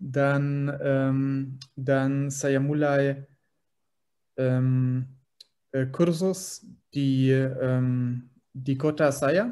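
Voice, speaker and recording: Speaking very slowly with long, frequent pauses, a man with a German accent has a dark, mellow tone and a fairly high pitch. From Germany. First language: German (speaking Indonesian). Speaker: language learner. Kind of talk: interview. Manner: halting, many fillers.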